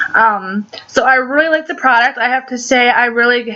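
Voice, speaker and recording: A woman with a fairly high voice talks, her pitch moving in an ordinary way, while noticeable noise sounds behind her. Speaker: beauty vlogger. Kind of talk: makeup tutorial. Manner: casual, with many fillers.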